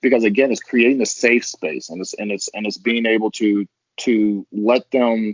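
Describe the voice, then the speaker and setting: A man with an American accent speaks in a plain, everyday voice. His pitch is medium, his intonation fairly even and his pace moderate. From Texas, Longview. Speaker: podcast guest. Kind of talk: casual chat. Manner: repetitive false starts.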